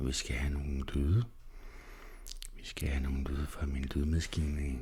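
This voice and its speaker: A man whispers in a soft-spoken way. Noticeable background noise can be heard. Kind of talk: ASMR relaxation / sleep guidance. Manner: soft-spoken, whispered, slow.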